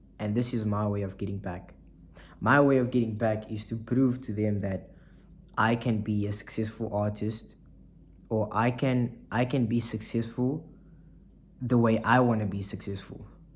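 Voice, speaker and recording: Somewhat breathy, a man speaks at a moderate pace and medium pitch with monotone, flat intonation and long, frequent pauses. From South Africa, Saldanha (Western Cape). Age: 20s. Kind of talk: casual vlog monologue.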